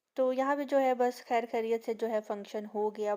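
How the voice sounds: Soft-spoken and fairly even in intonation, a woman talks in a dark, mellow tone.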